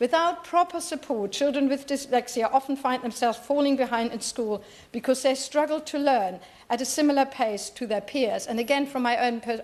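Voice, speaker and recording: A woman with a German accent speaks at a moderate pace. Her pitch is high, with ordinary pitch variation. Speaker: member of parliament. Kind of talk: parliamentary debate speech. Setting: parliament chamber. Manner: halting.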